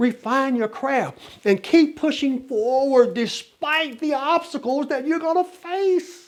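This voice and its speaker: In a very clean recording with a silent background, a man speaks at an extremely high pitch. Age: 60s. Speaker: motivational speaker. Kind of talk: motivational talk.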